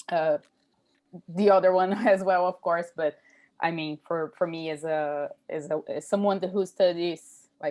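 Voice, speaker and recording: A woman speaks at a fairly slow pace with a Brazilian accent and a fairly low pitch. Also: fairly even intonation. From Brazil, São Paulo. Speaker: PhD student. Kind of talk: academic Q&A comment. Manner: halting.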